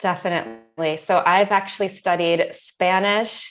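A woman with an American accent talks at a moderate pace in a plain, everyday voice, her pitch fairly low and its variation ordinary. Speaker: ESL teacher. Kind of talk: interview.

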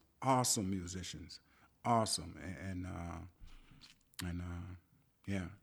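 A man speaks at a very slow pace in a very deep, low voice with a Southern US accent. His delivery is somewhat breathy, with ordinary pitch variation. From US South, rural South Carolina. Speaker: musician and composer. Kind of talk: interview. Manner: halting.

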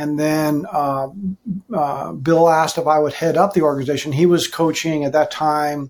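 A man with an American accent talks at a moderate pace in a fairly high pitch, his intonation monotone and flat. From Southern California. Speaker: men's ministry leader, pastor. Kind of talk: podcast interview.

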